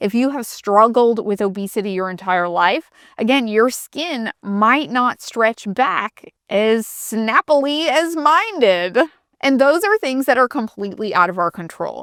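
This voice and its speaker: A woman with a normal speaking voice talks fairly slowly at a fairly high pitch with lively intonation, the sound dry and close with no echo on a very clean recording with a silent background. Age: 40s. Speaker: lifestyle YouTuber. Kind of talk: casual Q&A vlog. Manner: conversational.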